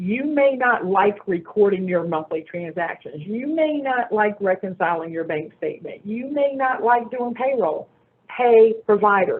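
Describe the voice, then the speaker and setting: A woman's ordinary speaking voice, fairly high in pitch, with an American accent, a fairly slow pace and lively intonation. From North Carolina. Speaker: banker. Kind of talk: Q&A answer; presentation.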